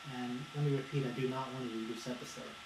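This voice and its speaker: A man speaks at a fairly quick pace in a medium pitch, his intonation monotone and flat. Room echo is audible, and there is noticeable background noise. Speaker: video blogger. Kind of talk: unscripted monologue. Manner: halting, with stutters.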